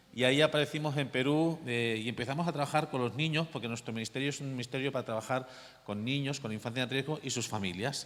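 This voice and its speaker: With a Catalan accent, a man talks at a very fast pace. His pitch is medium and his intonation fairly even. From Catalonia, Barcelona area. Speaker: missionary pastor. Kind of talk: testimony.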